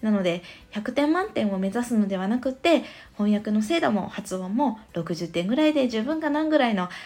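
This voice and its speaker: A woman's dark, mellow, somewhat breathy voice at a fairly quick pace, with lively intonation. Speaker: parenting podcaster. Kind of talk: casual monologue. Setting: stand.fm podcast.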